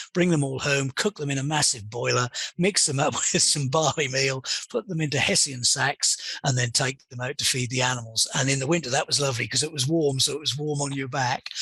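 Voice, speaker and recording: Over noticeable background noise, a man with a fairly high pitch and ordinary pitch variation speaks at a fairly quick pace. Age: 60s. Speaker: pig industry consultant. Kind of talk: interview. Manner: hesitant, with many fillers.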